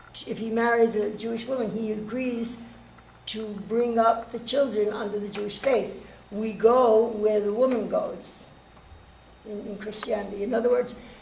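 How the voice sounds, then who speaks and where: Her intonation monotone and flat, a woman with fairly high pitch speaks at a moderate pace with big swings in loudness and audible room echo. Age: 70s. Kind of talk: panel discussion.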